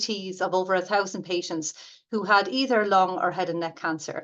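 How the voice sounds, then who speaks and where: Here a woman speaks with an Irish accent at a medium pitch. Her pace is moderate, and the background is quiet. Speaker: radiation therapy academic. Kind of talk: lecture. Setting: webinar. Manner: hesitant, many fillers.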